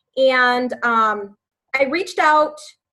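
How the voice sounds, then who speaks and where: A woman with an American accent speaks in a high voice with a bright, sharp tone and lively intonation. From US Midwest, West Chicago, Illinois. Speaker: fitness coach. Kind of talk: team call presentation.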